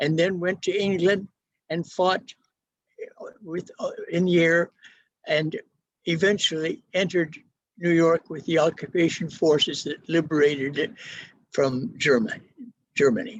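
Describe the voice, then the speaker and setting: A man at a fairly slow pace, high in pitch, with ordinary pitch variation and long, frequent pauses. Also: dry, close sound with no echo. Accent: American. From US Pacific Northwest, Everett, Washington. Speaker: retired pastor. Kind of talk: life story talk. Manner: halting.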